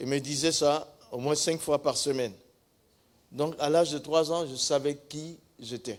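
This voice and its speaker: A man with an Ivorian accent, a fairly high pitch and fairly even intonation, talking at a fairly slow pace with long, frequent pauses. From northern Côte d'Ivoire. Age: 70s. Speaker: pastor. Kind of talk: testimony.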